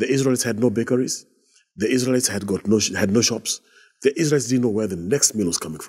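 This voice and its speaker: The tone of this man's voice is dark and mellow. Nothing stirs in the background. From Kenya. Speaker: bishop. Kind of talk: interview. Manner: hesitant fillers. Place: studio. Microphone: lapel.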